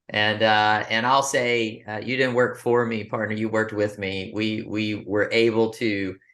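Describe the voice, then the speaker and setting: Speaking with a Texan accent at a fairly slow pace, the voice has a bright, sharp tone against a quiet background. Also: man. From West Texas, Abilene. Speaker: business coach. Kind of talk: interview. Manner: halting.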